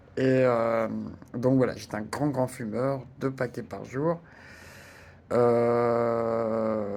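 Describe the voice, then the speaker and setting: With monotone, flat intonation, a man speaks at a very slow pace, leaving long, frequent pauses. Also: medium pitch for a man. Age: 60s. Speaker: retiree sharing personal experience. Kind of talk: personal testimony. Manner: hesitant, many fillers and repetitions.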